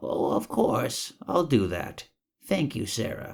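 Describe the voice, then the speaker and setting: Put-on character voice from a man, raspy and at a fairly slow pace. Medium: read story. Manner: upbeat, hearty.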